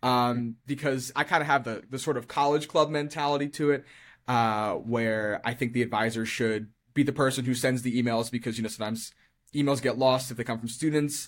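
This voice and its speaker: On a very clean recording with a silent background, a man with an American accent uses an ordinary speaking voice at medium pitch, talking at a fairly quick pace with fairly even intonation. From Maryland, Carroll County. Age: 20s. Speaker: high school science teacher. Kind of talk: casual interview.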